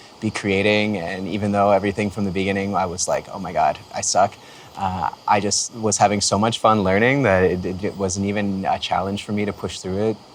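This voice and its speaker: Relaxed, fairly quick speech with a Canadian accent, monotone and flat, over noticeable background noise. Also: man. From Canada, Windsor Ontario. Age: 30s. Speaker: music producer. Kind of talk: casual talk to camera. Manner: relaxed, many fillers.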